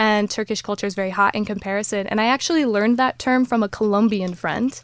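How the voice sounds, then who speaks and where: A woman talks at a very fast pace with an American accent, her pitch fairly high and ordinary in its variation. The sound is dry and close, with no echo. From United States. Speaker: life coach and influencer. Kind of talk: podcast interview.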